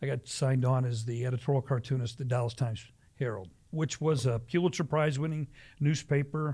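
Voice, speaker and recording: A man with an American accent speaks at a fairly quick pace and a medium pitch, with ordinary pitch variation. His voice is somewhat breathy, on a very clean recording with a silent background. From US Midwest, Ohio near Cleveland. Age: 60s. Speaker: pastor. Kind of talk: casual chat.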